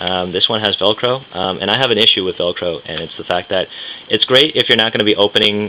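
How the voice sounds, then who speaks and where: Noticeable background noise surrounds a man with an American accent and a fairly low pitch. He mumbles at a very fast pace. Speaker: budget backpacking traveler reviewing gear. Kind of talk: casual talk to camera, gear demonstration. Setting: filmed at home late at night. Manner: mumbling.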